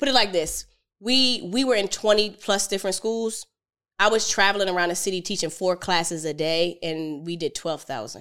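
On a very clean recording with a silent background, a woman in a normal speaking voice talks at a moderate pace and medium pitch, with ordinary pitch variation. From Philadelphia, US. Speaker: entrepreneur, financial educator. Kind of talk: podcast interview.

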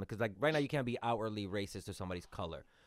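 Fairly low-pitched and animated in tone, a man talks with ordinary pitch variation. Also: very clean recording, silent background. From Dominican Republic. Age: 30s. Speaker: podcast host and stand-up comedian. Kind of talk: casual podcast interview.

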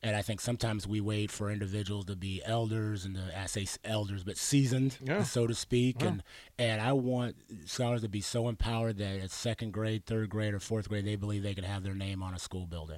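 On a very clean recording with a silent background, a man with an American accent and a normal speaking voice speaks at a fairly quick pace, fairly low in pitch with fairly even intonation. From Arizona. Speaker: youth program director. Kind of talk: radio interview.

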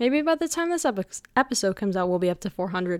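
A woman speaks at a moderate pace with very wide pitch swings. The sound is dry and close, with no echo. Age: young. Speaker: podcast host. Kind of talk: casual solo podcast monologue. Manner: animated.

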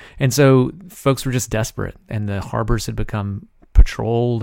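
A man talks with an Alabama accent. The recording is very clean, with a silent background. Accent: Southern US (Alabama). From US South, Alabama. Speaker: podcast host and journalist. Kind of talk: interview.

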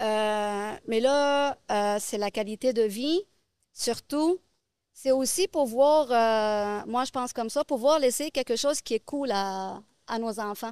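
Speaking at a very slow pace, a woman uses a fairly high pitch with ordinary pitch variation, in a very clean recording with a silent background and a dry, close sound with no echo. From Lebanon. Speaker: real estate investor. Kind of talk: interview. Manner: halting.

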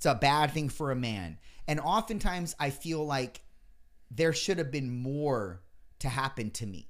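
Speaking at a fairly slow pace with lively intonation, a man with a fairly high pitch has an unremarkable speaking voice, captured on a very clean recording with a silent background. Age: 30s. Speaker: podcast host. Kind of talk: casual chat.

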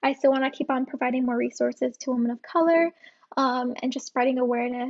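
The speaker talks at a very fast pace in a flat monotone. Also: woman. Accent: New Jersey. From New Jersey, US. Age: 20s. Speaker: freelance social media manager. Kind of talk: casual interview.

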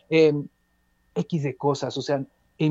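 Dry and close with no echo, a man's fairly high voice with a dark, mellow tone moves at a fairly slow pace. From Peru, Andean highlands (Cajabamba). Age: young. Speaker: musician. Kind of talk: interview. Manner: halting, many repetitions.

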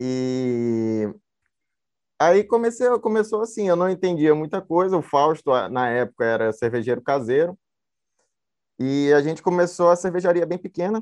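Against a quiet background, a man with a fairly high pitch talks with very wide pitch swings and long, frequent pauses. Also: moderate pace. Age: 20s. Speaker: brewer. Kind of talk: casual panel interview.

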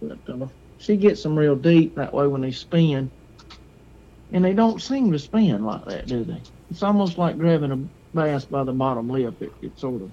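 Man in an Alabama accent, fairly high in pitch, lively intonation, big swings in loudness, moderate pace. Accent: Southern US (Alabama). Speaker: hunter. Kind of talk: casual chat.

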